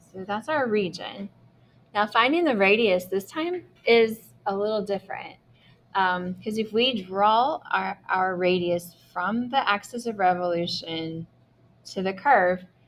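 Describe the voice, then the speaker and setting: The woman has an unremarkable speaking voice at a medium pitch and a fairly slow pace. The background is quiet. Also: ordinary pitch variation. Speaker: math teacher. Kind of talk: lecture.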